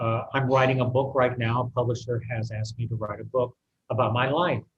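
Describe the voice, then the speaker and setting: A man's voice at medium pitch comes across as somewhat breathy. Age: 60s. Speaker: artist. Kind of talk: interview.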